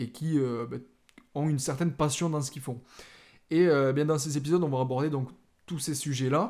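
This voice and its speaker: A man with a slight Toulouse accent speaks at a fairly quick pace in a fairly high pitch. He leaves long, frequent pauses, and the recording is very clean with a silent background. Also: ordinary pitch variation. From southern France, Toulouse area. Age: 20s. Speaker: podcast host, videographer and photographer. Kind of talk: podcast introduction monologue. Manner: casual with frequent filler hesitations.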